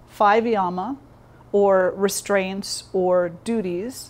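Her intonation holds fairly even. The voice is a woman's. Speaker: yoga teacher. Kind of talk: lecture. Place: hall.

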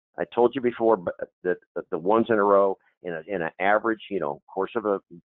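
At a moderate pace, a man with a fairly low pitch speaks with ordinary pitch variation. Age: 60s. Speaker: baccarat strategy teacher. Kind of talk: tutorial. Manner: halting.

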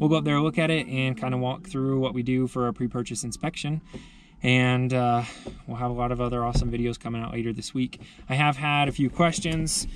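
With noticeable background noise but a dry sound and no echo, a man talks fairly quickly with ordinary pitch variation. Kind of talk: casual vlog chat. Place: car. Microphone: phone near.

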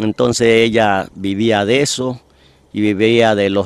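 A man speaks in a normal speaking voice with a fairly low pitch and fairly even intonation. The sound is dry and close, with no echo. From Ecuador, Esmeraldas province (Quinindé). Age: 60s. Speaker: poet and local historian. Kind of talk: interview.

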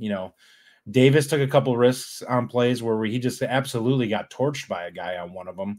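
A man's medium-pitched voice, fairly quick in pace, with ordinary pitch variation and a slightly mellow tone

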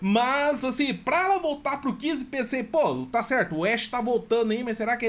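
A man speaks at a moderate pace. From Brazil. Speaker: gaming youtuber. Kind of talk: trailer reaction commentary. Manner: animated. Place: home room.

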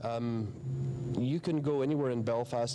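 A man talks at a medium pitch with noticeable background noise. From Northern Ireland. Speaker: musician, band co-founder. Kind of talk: interview, reminiscing. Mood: warm, reminiscing. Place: stage.

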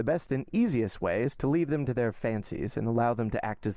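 The text is read aloud plainly.

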